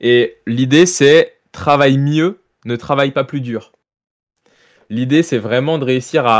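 On a very clean recording with a silent background, a man talks at a very slow pace, medium pitch and ordinary pitch variation. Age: 20s. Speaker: professional esports player. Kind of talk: interview.

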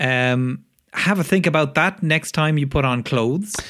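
Speaking at a fairly slow pace with lively intonation, a man is heard on a very clean recording with a silent background. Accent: Irish. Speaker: comedy podcast co-host. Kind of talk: casual chat.

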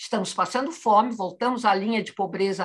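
A woman speaks with a fairly high pitch. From Madeira, Portugal; raised in Brazil from childhood. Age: 70s. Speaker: poet. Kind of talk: interview. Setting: video call.

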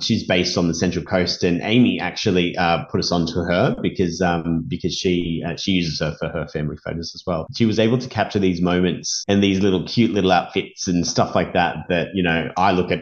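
With an Australian accent, a man speaks at a fairly quick pace with hardly any pauses, his very deep, low pitch held in fairly even intonation. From Sydney, Australia. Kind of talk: casual chat.

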